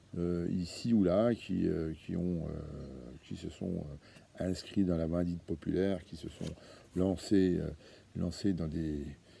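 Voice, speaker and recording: In a Franche-Comté accent, a man speaks at a very slow pace with a very deep, low pitch, a dark, mellow tone and ordinary pitch variation. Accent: Franche-Comté accent, kept. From Franche-Comté, eastern France. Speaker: association founder, activist. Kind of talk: monologue video address. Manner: hesitant, many fillers and repetitions.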